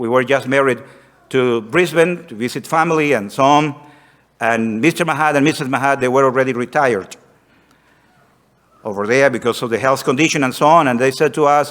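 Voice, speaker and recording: With a Spanish accent, a man speaks at a fairly quick pace and medium pitch, with ordinary pitch variation and long, frequent pauses. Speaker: missionary. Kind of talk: missionary report to congregation.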